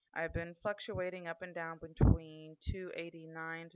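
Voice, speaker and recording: A woman's fairly low voice moves at a fairly slow speed. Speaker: vlogger. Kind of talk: video diary. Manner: loud; hesitant, many fillers.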